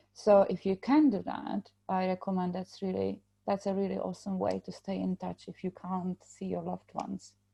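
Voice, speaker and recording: A woman with a Czech accent speaks at a moderate pace with hardly any pauses. The sound is dry and close, with no echo. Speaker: podcast co-host, major trauma survivor. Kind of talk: casual podcast chat.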